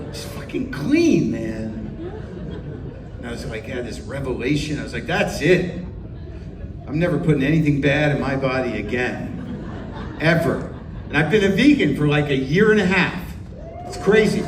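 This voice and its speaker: An animated man's fairly high voice at a moderate pace, with ordinary pitch variation, long and frequent pauses, big swings in loudness, audible room echo and noticeable background noise. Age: 60s. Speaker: stand-up comedian. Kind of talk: stand-up.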